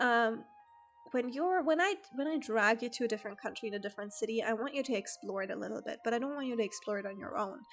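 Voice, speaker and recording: Music plays in the background as a woman talks at a very fast pace. Her pitch is fairly high, with ordinary pitch variation. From Germany. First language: German. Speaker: streamer. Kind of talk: casual chat. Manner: casual, hesitant with fillers.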